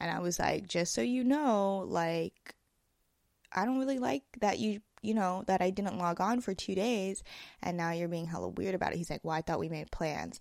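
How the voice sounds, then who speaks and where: In a very clean recording with a silent background, a woman with an American accent speaks at a moderate pace and medium pitch with lively intonation. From US West Coast. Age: 20s. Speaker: podcaster. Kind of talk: casual solo podcast monologue. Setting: home recording, apartment. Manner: rambling, filler-heavy, casual.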